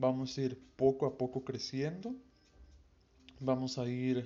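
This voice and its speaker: A man at medium pitch, fairly slow, with monotone, flat intonation. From Veracruz, Mexico. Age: young. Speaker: podcast host. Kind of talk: casual monologue. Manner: halting, stumbling over words.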